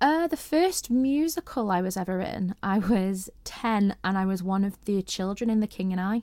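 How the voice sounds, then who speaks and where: A woman with a Merseyside accent speaks at a moderate pace with lively intonation and hardly any pauses. The sound is dry and close, with no echo. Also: medium pitch for a woman. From northern England, St Helens, Merseyside. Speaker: amateur musical theatre performer. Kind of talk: casual interview chat.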